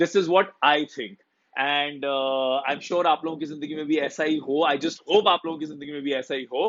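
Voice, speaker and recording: A man's fairly high voice at a moderate pace. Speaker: motivational speaker, life coach. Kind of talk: casual Hindi-English live stream talk to viewers. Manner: upbeat, cheerful.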